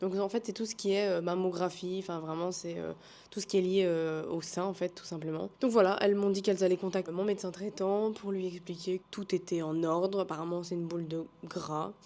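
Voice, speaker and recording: The voice has a dark, mellow tone, a fairly quick pace and monotone, flat intonation. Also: woman, medium pitch for a woman. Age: 20s. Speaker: vlogger. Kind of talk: casual vlog talk.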